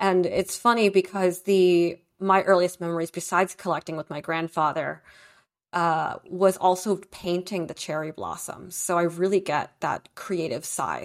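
With a normal speaking voice, a woman talks at a fairly slow pace, fairly low in pitch with fairly even intonation, on a very clean recording with a silent background. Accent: American. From Beijing, China, then Brooklyn, New York. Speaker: startup founder and collector. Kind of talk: casual interview chat.

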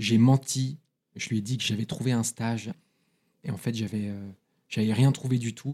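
A man with a dark, mellow tone talks at a medium pitch and a fairly slow pace, with ordinary pitch variation. Long, frequent pauses break his speech, and the sound is dry and close with no echo. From France, Paris, early years in London. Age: 30s. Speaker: recovered alcoholic. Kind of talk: testimony.

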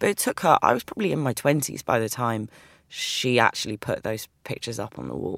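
A woman with a London accent and a very deep, low pitch speaks at a fairly quick pace, in a dry, close sound with no echo. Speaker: writer and poet. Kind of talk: casual interview.

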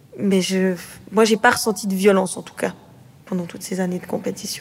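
A woman with fairly even intonation, noticeable background noise behind her. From Switzerland, Neuchâtel area. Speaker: boxer. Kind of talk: interview.

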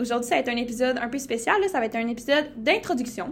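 A fairly quick pace and ordinary pitch variation, in a Saguenay accent. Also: woman. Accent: Québécois French (Saguenay). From Quebec, Saguenay-Lac-Saint-Jean. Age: 19. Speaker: podcast co-host, medical student. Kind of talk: casual podcast introduction.

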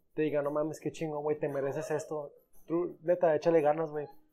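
Over background music, a man with a fairly high pitch speaks at a very fast pace. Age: 20s. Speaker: podcast guest. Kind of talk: casual chat.

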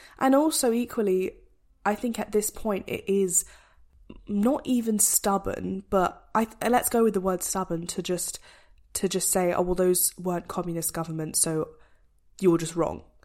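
Speaking at a moderate pace, a woman uses a plain, everyday voice of medium pitch with ordinary pitch variation. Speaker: podcast co-host. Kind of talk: casual chat.

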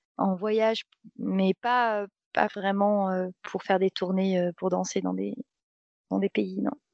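A woman, pitched at a medium level, talks at a very slow pace. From France, Seine-et-Marne (Paris region). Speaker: dancer and traveller. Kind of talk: casual interview.

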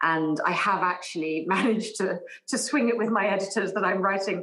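Over noticeable background noise, a woman's voice rises and falls with ordinary pitch variation. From England. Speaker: novelist. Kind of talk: casual chat.

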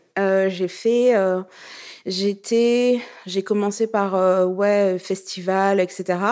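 A woman's dark, mellow tone at a very slow pace, with monotone, flat intonation. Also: medium pitch for a woman. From Burkina Faso. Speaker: music label founder. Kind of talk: interview.

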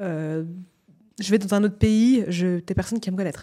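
With a dark, mellow tone and medium pitch, a woman speaks at a moderate pace and fairly even intonation. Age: 20s. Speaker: media entrepreneur and journalist. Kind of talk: casual interview.

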